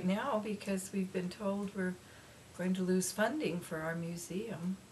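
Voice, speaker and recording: A woman's pitch varies in an ordinary way while noticeable background noise persists behind her. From Alaska (Cordova). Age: 70s. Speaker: foster grandparent, museum volunteer. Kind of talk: interview.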